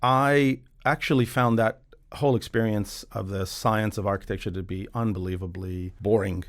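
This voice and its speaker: In a very clean recording over a silent background, a man speaks at a moderate pace in a fairly low voice with ordinary pitch variation. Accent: American. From Western Australia, Perth (Iranian family, early years Queensland). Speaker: property developer. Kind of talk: podcast interview.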